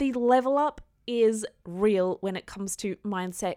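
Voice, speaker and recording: This woman has a dark, mellow tone and an Australian accent. She talks at a moderate pace, with a dry, close sound and no echo. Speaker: podcast host and business coach. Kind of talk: solo podcast monologue. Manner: casual, conversational.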